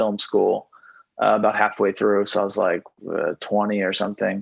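This man speaks with a Texan accent. His voice is fairly low, and the sound is dry and close with no echo. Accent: Texan American. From Texas (Houston). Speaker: rock band singer and songwriter. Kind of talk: casual interview chat. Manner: rambling with frequent fillers and repeats.

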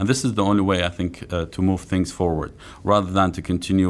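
In an Arabic accent, a man talks with a very deep, low pitch. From eastern Syria. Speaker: author and analyst. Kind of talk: interview. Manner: halting, many fillers.

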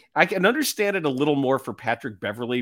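A normal speaking voice moves at a moderate pace with lively intonation. The recording is very clean, the background silent. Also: man. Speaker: podcast host, basketball commentator. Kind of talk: casual sports podcast banter, radio-style patter. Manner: conversational, bantering, sarcastic, self-deprecating.

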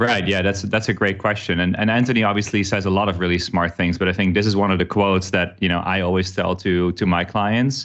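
A man with a Dutch accent speaks at a very fast pace with hardly any pauses, his pitch very deep and low. His intonation is fairly even, his loudness very even, and the background quiet. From Netherlands. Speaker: workplace company executive. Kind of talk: casual interview. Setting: remote recording.

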